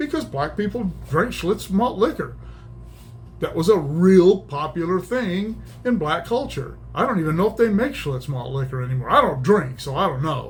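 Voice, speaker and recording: At a moderate pace, a high-pitched man talks with very wide pitch swings. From small-town US. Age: 60s. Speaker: YouTube commentator. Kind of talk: opinion monologue. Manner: casual, halting with repetitions.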